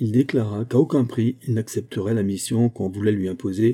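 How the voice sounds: The speaker reads in a natural voice.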